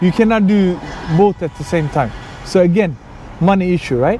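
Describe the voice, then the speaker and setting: High-pitched male speech at a moderate pace with lively intonation, over noticeable background noise. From Sweden, Somali background. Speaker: YouTuber. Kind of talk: personal storytelling. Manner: casual, with fillers.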